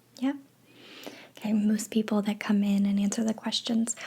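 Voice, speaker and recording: Soft-spoken and calm, with a gentle tone, a woman talks at a moderate pace in a fairly high pitch. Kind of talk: ASMR roleplay, soft spoken survey administrator. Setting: close microphone recording with keyboard typing sounds. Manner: soft-spoken, calm, gentle.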